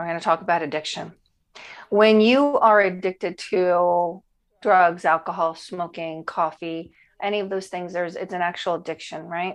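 A plain, everyday voice, with fairly even intonation and a moderate pace, comes through over a quiet background. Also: woman, fairly low pitch for a woman. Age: 50s. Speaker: chef and weight loss coach. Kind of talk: casual chat.

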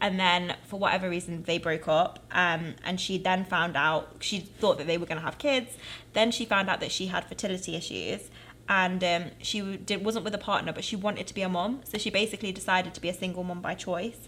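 A woman with a British accent speaks fairly quickly in a bright, sharp tone at a medium pitch, her intonation fairly even. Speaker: podcast co-host. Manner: fast talker.

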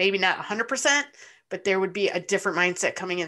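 A woman's bright, sharp voice, fairly low in pitch, with a Midwestern US accent against a quiet background. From Michigan, Ypsilanti. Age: 40s. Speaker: sports fan and parent. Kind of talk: casual chat.

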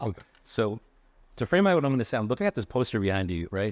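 A man with an American accent talks at a very fast pace and fairly low pitch, recorded with a dry, close sound with no echo and a quiet background. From Worcester, Massachusetts, US. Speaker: nonprofit executive director. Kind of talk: panel discussion.

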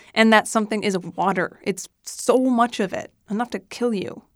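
In an American accent, a woman with an ordinary speaking voice talks at a medium pitch and moderate pace on a very clean recording with a silent background. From US Midwest, Missouri. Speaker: audio storyteller. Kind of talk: scripted narration.

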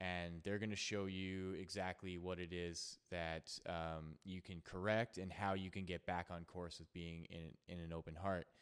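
Speaking at a fairly slow pace with hardly any pauses, a man with a very deep, low pitch keeps a monotone, flat intonation. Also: very clean recording, silent background. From Canada. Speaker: podcast host, yoga teacher. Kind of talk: casual chat.

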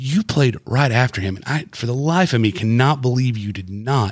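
Somewhat breathy, a man speaks at a medium pitch and a moderate pace with lively intonation. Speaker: podcast host. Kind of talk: casual chat.

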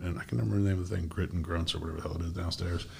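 A man speaks with a very deep, low pitch. His voice is somewhat breathy. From Maine, Bangor. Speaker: podcast host and real estate agent. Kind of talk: casual interview chat.

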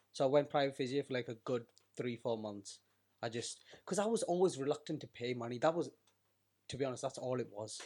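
This man talks very fast, with long, frequent pauses. His pitch is medium and varies in an ordinary way. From UK, Keralan Indian heritage. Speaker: podcast co-host. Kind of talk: casual chat.

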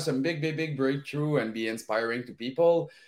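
Here a man speaks with a French-Canadian accent. His pace is fairly slow. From Val d'Or, Quebec. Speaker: podcast guest. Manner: energetic, upbeat.

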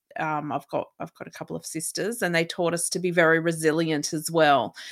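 This woman speaks with an Australian accent. Her pitch is fairly low, and her intonation is fairly even. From remote Australia. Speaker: resilience coach and inspirational speaker. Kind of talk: casual interview. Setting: remote call.

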